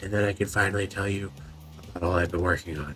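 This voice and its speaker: Whispering in a raspy, put-on character voice, a man is heard over faint music in the background. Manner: barely audible whisper.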